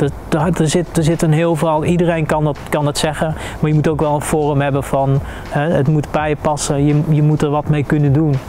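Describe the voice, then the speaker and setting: Talking at a fairly quick pace, a man with a fairly high pitch keeps a monotone, flat intonation over light background noise. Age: 40s. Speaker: experiential social worker, military veteran. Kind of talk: interview testimony. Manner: halting, many hesitations. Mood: calm, reflective, serious. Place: garden. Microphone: lapel.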